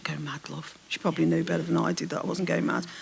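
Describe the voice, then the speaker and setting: A woman with a Birmingham accent at a very fast pace. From English Midlands, Birmingham. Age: 60s. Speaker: novelist. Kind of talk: onstage literary interview. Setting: stage with audience.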